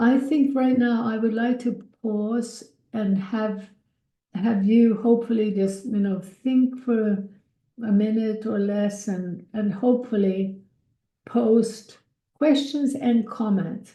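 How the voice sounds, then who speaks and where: A woman with a somewhat breathy voice and a dark, mellow tone speaks at a very slow pace and fairly high pitch, her intonation fairly even amid audible room echo. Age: 70s. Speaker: speaker, founder of a nonprofit. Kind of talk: webinar talk.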